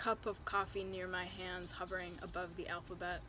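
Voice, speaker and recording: At a fairly slow pace, a woman with an American accent speaks in a medium pitch with a bright, sharp tone. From Chicago area. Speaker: poet. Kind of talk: poetry reading.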